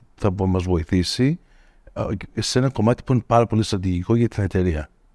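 In a dry, close sound with no echo, a man talks at a moderate pace with ordinary pitch variation. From Greece (Attica) until age 9, then United States. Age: 50s. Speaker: tech executive. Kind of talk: interview conversation. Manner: mixes English words into Greek.

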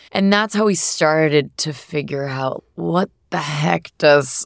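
Recorded very cleanly against a silent background, a woman speaks in a very deep, low pitch, the sound dry and close with no echo. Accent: American. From US Northeast, southern New Hampshire. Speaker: food company founder and CEO. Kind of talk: casual interview.

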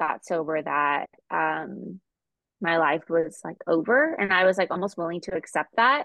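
A woman with a fairly low pitch and an American accent talks at a very slow pace. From California. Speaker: podcast co-host. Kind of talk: recovery meeting testimony.

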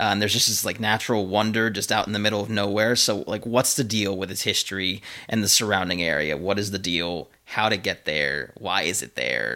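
Fairly low in pitch, this man has a bright, sharp tone with vocal fry. He moves at a fairly quick pace with hardly any pauses. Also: ordinary pitch variation. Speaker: podcast host. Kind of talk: casual chat. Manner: joking, playful.

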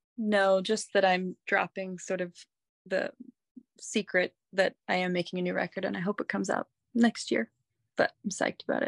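A woman's ordinary speaking voice at medium pitch, with an American accent and ordinary pitch variation. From US, mainly New York State and Massachusetts. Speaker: singer-songwriter. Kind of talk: casual chat.

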